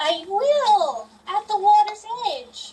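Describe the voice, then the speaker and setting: A woman puts on a squeaky character voice at an extremely high pitch. Her pitch swings very widely. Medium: stage play. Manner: prim, formal.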